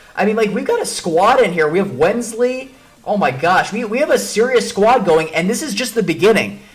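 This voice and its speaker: A man with an American accent speaks in a high, animated voice at a fairly quick pace with lively intonation. Audible room echo and noticeable background noise surround him. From Chicago, Illinois. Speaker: chess streamer. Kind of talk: live stream commentary. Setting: live stream. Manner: fast, with many repetitions and fillers.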